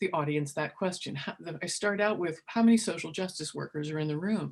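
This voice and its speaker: Her voice is somewhat breathy, and the woman's intonation is lively. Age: 50s. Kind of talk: webinar presentation. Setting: online webinar.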